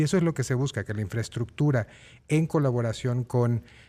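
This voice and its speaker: This man talks at a fairly quick pace in a medium pitch, with ordinary pitch variation and a dark, mellow tone. The recording is very clean, with a silent background. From Guerrero, Mexico. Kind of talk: interview.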